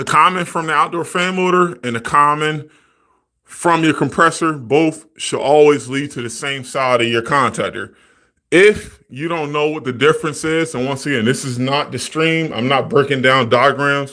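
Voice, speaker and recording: A man's bright, sharp, fairly high voice on a very clean recording with a silent background. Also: ordinary pitch variation, moderate pace. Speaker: HVAC technician streamer. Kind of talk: live stream tutorial. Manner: casual, profane.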